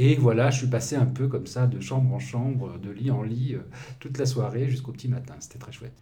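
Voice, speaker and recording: A man at a medium pitch talks at a fairly quick pace in a flat monotone, his loudness swinging widely amid audible room echo. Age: 60s. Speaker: journalist and activist. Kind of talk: interview. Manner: halting.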